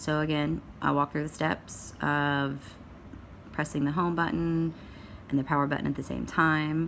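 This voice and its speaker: A woman's very deep, low voice, fairly even in intonation, at a moderate pace. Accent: Tennessee. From Tennessee. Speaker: parent sharing a phone fix. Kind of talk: home tutorial. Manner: casual, hesitant with many fillers.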